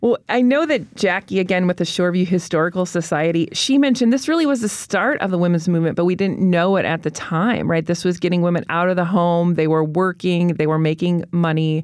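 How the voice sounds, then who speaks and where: An unremarkable speaking voice moves at a fairly quick pace with hardly any pauses, very even loudness and ordinary pitch variation. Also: woman, fairly low pitch for a woman. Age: 40s. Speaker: newspaper reporter. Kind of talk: casual interview. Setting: studio.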